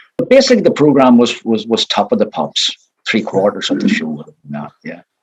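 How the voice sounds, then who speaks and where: The speaker is a man with a Northern Irish accent. He talks at a fairly quick pace. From Northern Ireland. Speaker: retired showband bass player. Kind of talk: interview.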